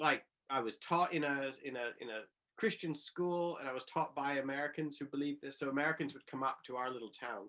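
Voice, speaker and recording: With a Canadian accent, a man talks at a moderate pace in a fairly high pitch and a bright, sharp tone. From Western Canada. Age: 40s. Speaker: political theologian. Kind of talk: conversational talk. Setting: talk with live audience.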